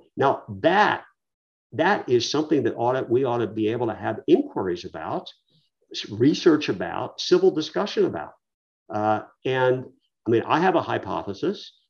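At a moderate pace, a man with a medium pitch makes very wide pitch swings and takes long, frequent pauses. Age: 70s. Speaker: author, lawyer and economist. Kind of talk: interview. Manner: halting.

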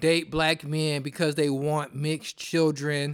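Fairly high in pitch, a man speaks in an animated tone. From US Midwest, Detroit. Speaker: podcast host. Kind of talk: solo monologue podcast.

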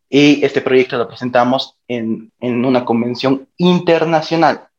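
A man with a plain, everyday voice speaks at a fairly slow pace. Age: 20s. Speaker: university student. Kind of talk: interview.

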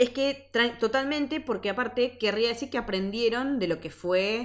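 Intonation is lively in an unremarkable speaking voice. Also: woman. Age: 30s. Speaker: podcast co-host. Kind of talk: casual chat.

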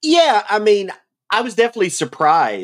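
Here a man talks with a Southern US accent. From US South. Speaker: podcast co-host. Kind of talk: casual chat.

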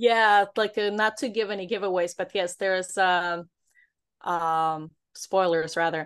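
In a quiet setting, a woman speaks at a medium pitch and moderate pace with ordinary pitch variation. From Brooklyn, New York. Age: 40s. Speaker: author. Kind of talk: interview.

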